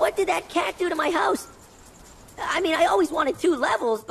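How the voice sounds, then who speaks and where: Over clear background noise, a put-on character voice sounds squeaky, high-pitched and nervous at a fairly quick pace. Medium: video game. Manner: stuttering, nervous.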